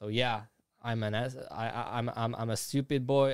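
Here a man speaks with a Slovak accent. His pitch is medium, and its variation is ordinary. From Slovakia. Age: 20s. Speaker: YouTuber and animator. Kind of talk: casual interview. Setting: studio.

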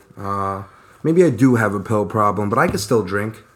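At a moderate pace, a man with a fairly low pitch speaks in a New York accent. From Brooklyn, then Long Island from age 10. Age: 30s. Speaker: construction worker in recovery, podcast co-host. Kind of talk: casual chat. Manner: animated, rambling.

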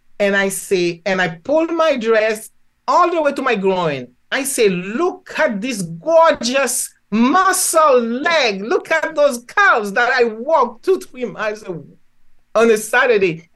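A woman with a Haitian accent speaks very slowly in a high pitch, her voice swinging very widely up and down. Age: 70s. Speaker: physician and spiritual healer. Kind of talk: interview.

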